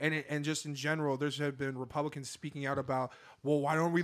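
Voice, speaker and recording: On a very clean recording with a silent background, a man with a fairly high pitch talks at a very fast pace. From Seattle, US Pacific Northwest. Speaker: podcast co-host. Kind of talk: casual chat.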